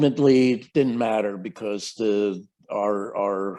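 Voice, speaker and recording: The tone is dark and mellow, and the pace is very slow. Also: man. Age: 70s. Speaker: scientist. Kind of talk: interview. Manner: halting, many repetitions.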